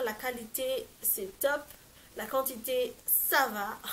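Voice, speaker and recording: The woman's voice has a bright, sharp tone. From Madagascar. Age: 20s. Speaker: lifestyle vlogger. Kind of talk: casual talk to camera. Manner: upbeat.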